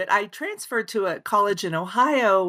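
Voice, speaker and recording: A woman's fairly high pitch, bright, sharp tone and lively intonation, with a slight Oklahoma accent. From Oklahoma, Osage County. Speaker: author. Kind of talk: interview. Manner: many fillers, hesitant.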